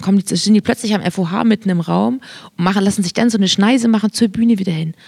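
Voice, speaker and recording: The voice is somewhat breathy and moves at a very fast pace with ordinary pitch variation. The sound is dry and close with no echo. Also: woman, medium pitch for a woman. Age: 30s. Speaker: podcast co-host. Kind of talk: casual chat.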